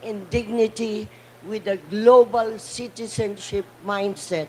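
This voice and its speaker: A woman speaks very slowly at a fairly high pitch with fairly even intonation. Noticeable background noise is present. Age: 80s+. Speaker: panel speaker, cultural advocate. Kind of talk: conference speech. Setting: conference side event panel. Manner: impassioned.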